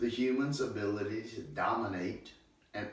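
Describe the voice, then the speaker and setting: There is audible room echo and noticeable background noise as a man of medium pitch speaks at a fairly slow pace. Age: 60s. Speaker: horse trainer. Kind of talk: monologue.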